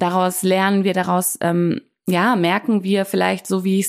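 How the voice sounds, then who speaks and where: A woman speaks at medium pitch and a moderate pace. The recording is very clean, with a silent background. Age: 30s. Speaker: life coach and podcast host. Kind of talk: solo podcast monologue. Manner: hesitant fillers (ähm).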